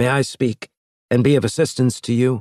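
Using a put-on character voice, a man sounds raspy at a medium pitch, with fairly even intonation and a moderate pace in a dry, close sound with no echo. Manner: meek, deferential.

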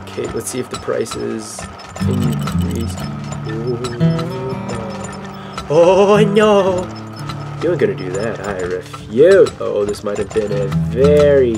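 Over clear music in the background, a man speaks at a very slow pace with long, frequent pauses. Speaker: gaming commentator. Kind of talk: commentary.

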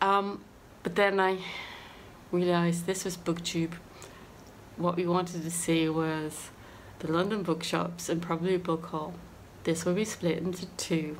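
Her fairly low voice moving at a fairly slow pace, a woman speaks in a monotone, flat way with long, frequent pauses over light background noise. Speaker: book vlogger. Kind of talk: casual vlog chat. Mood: cheerful, laughing often. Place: home room. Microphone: phone near.

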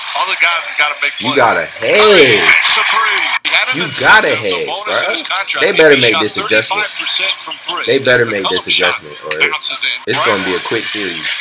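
Through loud background noise, a man talks at a moderate pace with long, frequent pauses. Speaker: sports reaction vlogger. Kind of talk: casual reaction commentary. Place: home room. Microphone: phone near.

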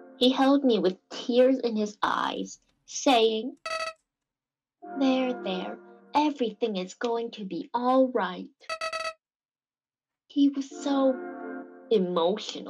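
Using a put-on character voice at an extremely high pitch, a man sounds weary, speaking at a very slow pace with long, frequent pauses as faint music plays in the background. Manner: melancholy, weary storytelling.

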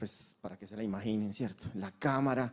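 The background stays quiet. A man's voice has a dark, mellow tone. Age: 50s. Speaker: conference speaker. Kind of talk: conference talk. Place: hall. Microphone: handheld.

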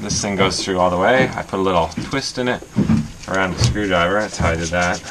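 Noticeable background noise runs under a man who talks at a moderate pace. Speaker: sailing vlogger. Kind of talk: casual vlog tutorial. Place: boat. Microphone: phone near.

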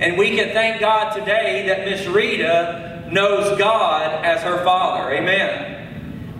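Through audible room echo and light background noise, a man with a high pitch speaks with ordinary pitch variation. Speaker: preacher at a funeral. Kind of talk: funeral sermon. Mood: solemn, comforting. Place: church. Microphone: podium.

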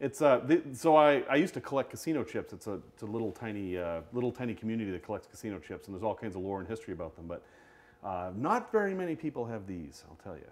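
Very fast and with very wide pitch swings, a man talks with big swings in loudness. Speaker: collector of curiosities. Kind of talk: live-streamed show and tell. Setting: studio, live video stream. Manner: animated. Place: studio.

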